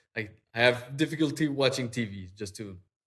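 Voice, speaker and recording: A man's voice with ordinary pitch variation and a strong French accent. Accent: thick French. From Quebec, Eastern Townships. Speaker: digital artist. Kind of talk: interview conversation. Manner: halting, many fillers and repeats.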